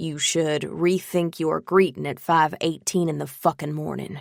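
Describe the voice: A growling put-on character voice at a middle pitch and moderate pace.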